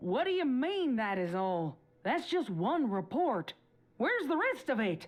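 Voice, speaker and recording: A female-sounding voice performs a put-on character voice at a high pitch. It swings very widely in pitch at a moderate pace. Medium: audio drama. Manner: brash, confrontational.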